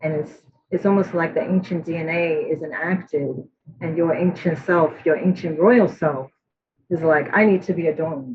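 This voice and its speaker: A woman speaks at a fairly low pitch in a somewhat breathy voice. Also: fairly even intonation, moderate pace. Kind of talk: artist presentation.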